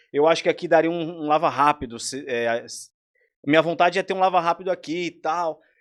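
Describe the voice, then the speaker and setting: A man with an unremarkable speaking voice talks at a fairly quick pace in a fairly high pitch with ordinary pitch variation, on a very clean recording with a silent background. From São Paulo, East Zone (Itaquera), Brazil. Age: 20s. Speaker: entrepreneur and chef. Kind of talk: podcast interview.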